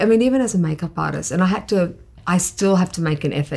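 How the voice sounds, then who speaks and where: A woman talks at a very fast pace with an Australian accent and lively intonation. Her medium-pitched voice is somewhat breathy. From Queensland, Australia. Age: 50s. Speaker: makeup artist. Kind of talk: interview.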